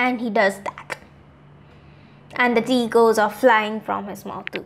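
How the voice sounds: At a fairly slow pace, a woman speaks with fairly even intonation, a fairly high pitch, a fairly bright tone and vocal fry.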